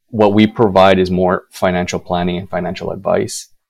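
Very deep and low, a man's voice moves at a moderate pace. His intonation is monotone and flat. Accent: Canadian. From Manitoba, Canada. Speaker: financial advisor. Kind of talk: interview. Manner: halting, repeats words.

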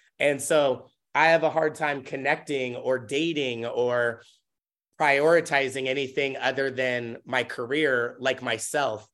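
A man with an American accent and a plain, everyday voice, fairly high in pitch, fairly even in intonation, over a quiet background. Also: fairly slow pace. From US Pacific Northwest, Tacoma, Washington. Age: 30s. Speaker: dancer and choreographer. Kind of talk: casual chat.

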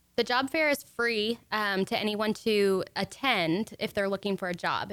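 In a normal speaking voice, a woman talks at a medium pitch with ordinary pitch variation. The recording is very clean, with a silent background. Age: 20s. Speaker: chamber of commerce director. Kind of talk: radio interview. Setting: radio studio.

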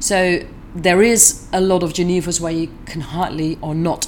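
A woman speaks with a Dutch accent, her pitch fairly low and her intonation fairly even. Noticeable background noise runs under the voice. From southern Netherlands. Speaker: distiller. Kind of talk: interview. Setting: convention.

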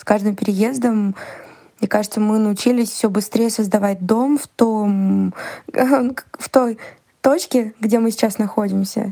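The voice has a dark, mellow tone and moves at a very slow pace. Its loudness swings widely. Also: woman, fairly high pitch for a woman, fairly even intonation. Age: 30s. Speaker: podcast listener. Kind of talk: recorded voice message. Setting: recorded voice message.

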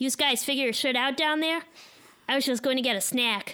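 Using a put-on character voice, a woman talks fairly quickly at a high pitch with fairly even intonation and very even loudness. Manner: casual, dismissive.

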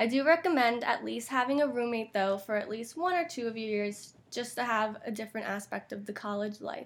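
A woman's normal speaking voice, fairly high in pitch, with ordinary pitch variation, a fairly quick pace and hardly any pauses. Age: 20s. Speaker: college student podcast co-host. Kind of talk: casual chat.

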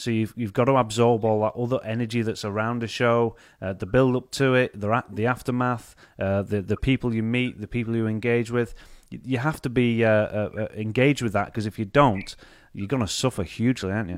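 Fairly quick and fairly even in intonation, a man speaks at a medium pitch. The recording is very clean, with a silent background. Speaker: podcast host. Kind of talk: casual interview chat. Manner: filler-heavy, hesitant.

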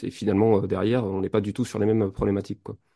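Here a man speaks at a fairly quick pace against a quiet background. His fairly low voice has a dark, mellow tone. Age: 40s. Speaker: hypnotherapist. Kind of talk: casual interview.

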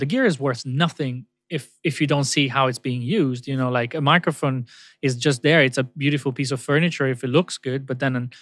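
Speaking at a fairly quick pace, a man has a fairly bright tone and ordinary pitch variation. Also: medium pitch for a man.

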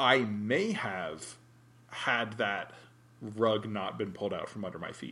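Audible room echo surrounds a man speaking at a fairly slow pace. His fairly low voice has a bright, sharp tone and ordinary pitch variation. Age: 30s. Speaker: podcast co-host. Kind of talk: casual chat.

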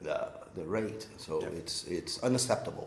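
A man's fairly even intonation amid noticeable background noise and audible room echo. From Brazil. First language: Portuguese. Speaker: social entrepreneur, co-working space co-founder. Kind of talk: interview. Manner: halting, many repeated words.

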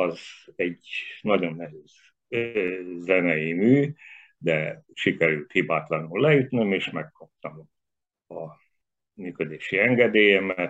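The speaker goes at a very slow pace with long, frequent pauses. The intonation is lively and the loudness swings widely. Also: man, very deep, low pitch for a man. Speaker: theatre set designer. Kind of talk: interview.

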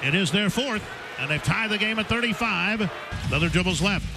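Over noticeable background noise, a man speaks in a raised, projected voice with ordinary pitch variation. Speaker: radio play-by-play announcer. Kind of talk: live radio play-by-play commentary. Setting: courtside at a basketball game, radio broadcast. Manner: rapid-fire, animated, rising excitement on big plays; clipped, fast, call-by-call narration.

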